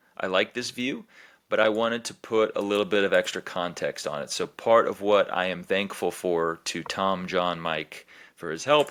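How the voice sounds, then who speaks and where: Recorded very cleanly against a silent background, a man with a fairly low pitch speaks at a moderate pace in a plain, everyday voice. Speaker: fantasy sports league commissioner. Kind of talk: screen-share recap commentary. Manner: casual, filler-heavy.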